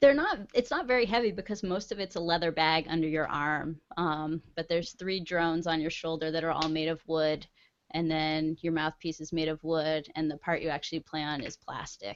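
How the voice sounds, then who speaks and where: A Northeast US accent at a moderate pace, with hardly any pauses and ordinary pitch variation. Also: woman, fairly low pitch for a woman. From Vermont. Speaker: online gaming community member. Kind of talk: casual chat. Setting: video call.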